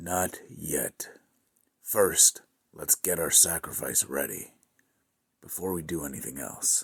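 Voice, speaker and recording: Whispering in a put-on character voice, a man speaks at a fairly slow pace with long, frequent pauses. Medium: audio drama. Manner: cold, controlled.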